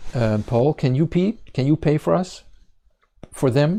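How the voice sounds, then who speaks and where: Recorded very cleanly over a silent background, a man with a Dutch accent speaks at a moderate pace, his fairly high, dark, mellow voice carrying lively intonation. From Netherlands. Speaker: congregation leader and Bible teacher. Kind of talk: sermon. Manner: halting, many fillers.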